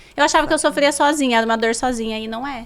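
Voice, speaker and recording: A high-pitched woman speaks very fast, with ordinary pitch variation. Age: 40s. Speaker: businesswoman. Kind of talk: casual chat.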